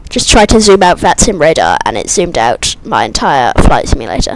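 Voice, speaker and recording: Noticeable noise runs in the background. The speech moves at a moderate pace. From Britain. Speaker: flight sim streamer. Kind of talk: live stream commentary. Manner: casual, chatty.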